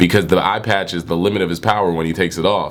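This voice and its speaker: Over noticeable background noise and audible room echo, a man's pitch moves in an ordinary way as he speaks. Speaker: manga reviewer, YouTuber. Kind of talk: casual video review. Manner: animated.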